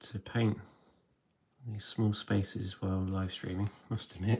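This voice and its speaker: A man speaks quietly at a moderate pace, his fairly low voice dark, mellow and somewhat breathy. His delivery is monotone and flat, broken by long, frequent pauses. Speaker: miniature painting streamer. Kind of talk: live stream tutorial chat. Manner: hesitant, many fillers.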